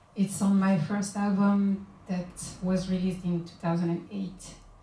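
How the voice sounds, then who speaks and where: A woman with a Guadeloupean accent, somewhat breathy and dark and mellow in tone, at a very slow pace with audible room echo. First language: Guadeloupean Creole. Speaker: singer-songwriter and author. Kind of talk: book launch talk. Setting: bookshop event with audience.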